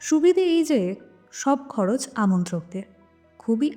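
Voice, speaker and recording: Over music in the background, a woman talks with very wide pitch swings. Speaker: narrator. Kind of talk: audio story narration.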